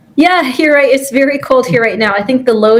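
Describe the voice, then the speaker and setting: Over noticeable background noise, a woman speaks with a Canadian accent. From Canada. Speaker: physician and astronaut candidate. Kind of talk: interview.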